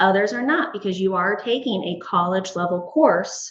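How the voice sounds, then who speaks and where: Her lively intonation and somewhat breathy delivery carry audible room echo as the woman talks. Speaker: school administrator. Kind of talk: board meeting presentation.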